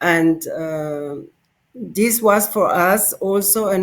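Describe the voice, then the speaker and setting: On a very clean recording with a silent background, a woman with an Italian accent speaks with ordinary pitch variation. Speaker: political candidate. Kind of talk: interview. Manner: halting.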